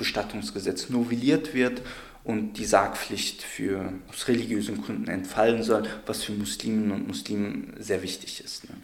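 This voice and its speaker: A man talks at a fairly slow pace, with room echo audible around him. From Hesse, Germany (Darmstadt). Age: 20s. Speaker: law researcher and community advocate. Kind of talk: interview.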